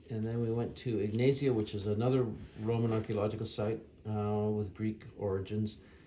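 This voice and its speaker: Over noticeable background noise, a man talks at a fairly quick pace in a fairly low, monotone voice with flat intonation. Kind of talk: casual travel recap narration. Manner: unscripted, hesitant.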